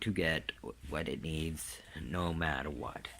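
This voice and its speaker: A man's vocal fry at a very slow pace. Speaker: dog owner and trainer. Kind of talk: casual video narration. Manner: halting, many fillers and word searches; sometimes loses words due to brain damage.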